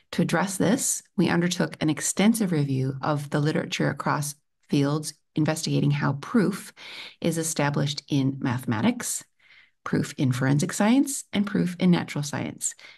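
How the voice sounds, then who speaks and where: Against a quiet background, a woman with an American accent and vocal fry speaks at a moderate pace with a very deep, low pitch and lively intonation. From United States. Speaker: PhD researcher. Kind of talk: conference talk. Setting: remote video presentation. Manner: formal.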